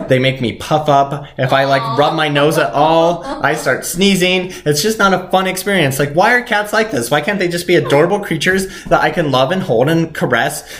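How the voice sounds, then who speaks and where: Over noticeable background noise, a man with a fairly high pitch talks at a moderate pace with ordinary pitch variation and hardly any pauses. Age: 20s. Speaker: podcast host. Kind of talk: casual chat.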